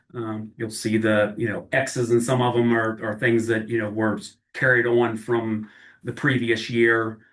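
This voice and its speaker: Flat, monotone intonation marks this man's speech. He moves through it at a fairly slow pace. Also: medium pitch for a man, quiet background. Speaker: county water department director. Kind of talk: public meeting presentation. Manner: halting, many fillers.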